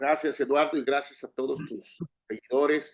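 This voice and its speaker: Talking at a fairly slow speed, this man has a fairly high pitch. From Mexico, Guadalajara, Jalisco. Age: 60s. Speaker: corporate lawyer. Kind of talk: interview.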